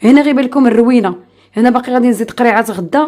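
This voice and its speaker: A woman talks at a very fast pace in a high pitch with ordinary pitch variation. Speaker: lifestyle vlogger. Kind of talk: casual vlog narration. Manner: chatty.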